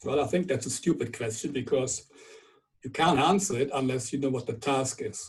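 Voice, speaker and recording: With a German accent, a man speaks at a moderate pace in a fairly high, somewhat breathy voice with ordinary pitch variation. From Germany. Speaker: viticulture scientist. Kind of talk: webinar lecture. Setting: online webinar.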